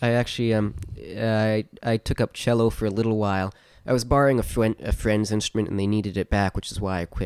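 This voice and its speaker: A normal speaking voice from a man with an American accent, fairly low in pitch and fairly quick, in a very clean recording with a silent background and a dry, close sound with no echo. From US Northeast, New York. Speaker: podcast host and musician. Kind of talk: casual chat.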